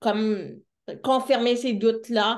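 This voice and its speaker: A woman speaks in a Quebec accent at a very slow pace. Her intonation is monotone and flat. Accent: Québécois French. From Quebec City, Charlesbourg. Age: 30s. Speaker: deaf entrepreneur and speaker. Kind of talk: interview.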